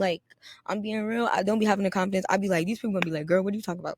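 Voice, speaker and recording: An animated woman's voice at a medium pitch, with an American accent. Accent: slight up north accent, a little Americanized. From New York City. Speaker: podcaster. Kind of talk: casual vlog-style monologue.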